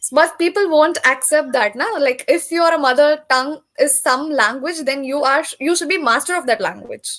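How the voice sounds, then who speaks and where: The speaker has a Telugu accent, a moderate pace, and ordinary pitch variation. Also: woman, high pitch for a woman. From South India, Tamil. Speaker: English tutor. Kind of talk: casual conversation practice.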